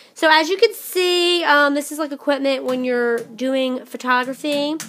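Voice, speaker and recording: A loud, high-pitched woman's voice at a moderate pace, faint music in the background. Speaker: vlogger. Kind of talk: casual vlog show-and-tell. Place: home room. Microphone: phone near.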